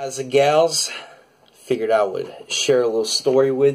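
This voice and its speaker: A man with a Southern US accent. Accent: American country. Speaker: drummer. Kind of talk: casual talk to camera, vlog.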